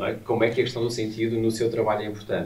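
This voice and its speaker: A man talks over light background noise. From Portugal. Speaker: academic interviewer. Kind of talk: interview. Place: studio.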